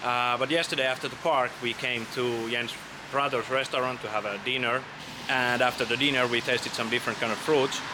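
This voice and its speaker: There is noticeable background noise as a man with a Finnish accent speaks at a medium pitch in a monotone, flat intonation. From Finland. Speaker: travel vlogger. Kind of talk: casual travel vlog narration. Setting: outdoors on a walk. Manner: halting, with fillers.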